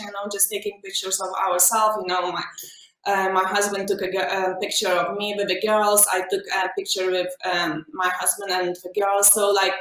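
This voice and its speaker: Over noticeable background noise, a woman talks at a moderate pace and medium pitch with fairly even intonation. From Lithuania. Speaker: family photographer. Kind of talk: video panel interview.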